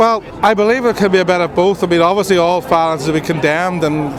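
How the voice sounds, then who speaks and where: A man with a Northern Irish accent talks very fast in a high voice with fairly even intonation, over noticeable background noise. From Northern Ireland. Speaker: minister of religion. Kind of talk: street interview.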